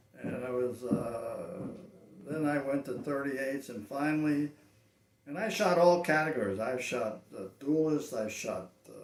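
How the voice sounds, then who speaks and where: A man with a fairly high pitch talks at a fairly slow pace, with noticeable background noise and audible room echo around him. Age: 80s+. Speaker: veteran cowboy action shooter. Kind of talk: interview.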